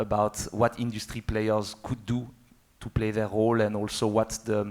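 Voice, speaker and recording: Someone speaks at a moderate pace in a French accent. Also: man. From France. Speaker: motorcycle industry executive. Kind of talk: panel discussion. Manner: halting, with many fillers.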